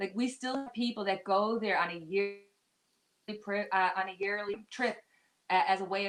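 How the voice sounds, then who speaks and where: Speaking with a Newfoundland accent, a woman uses a medium pitch and ordinary pitch variation at a moderate pace. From Newfoundland, Canada. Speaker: live stream guest. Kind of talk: casual chat.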